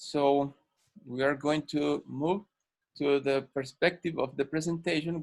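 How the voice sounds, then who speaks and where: A man talks in a Spanish accent, fairly high in pitch, with monotone, flat intonation. His pace is moderate and the sound is dry and close with no echo. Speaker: ENT doctor and guest lecturer. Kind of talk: medical lecture. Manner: halting, many fillers.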